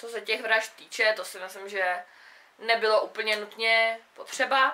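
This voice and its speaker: A woman speaks at a fairly slow pace. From South Bohemia, Czechia. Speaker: book vlogger. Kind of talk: casual book review monologue. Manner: casual, hesitant with fillers. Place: home room. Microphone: camera far.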